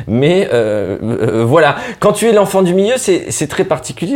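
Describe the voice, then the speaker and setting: Very wide swings of pitch in a male voice. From northern France (Nord). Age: 30s. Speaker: comedian. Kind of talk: casual interview.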